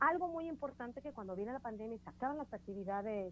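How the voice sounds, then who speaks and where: A woman speaks at a moderate pace in a fairly high pitch, with lively intonation. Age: 30s. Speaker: communications professional, mother. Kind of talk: casual chat. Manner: animated.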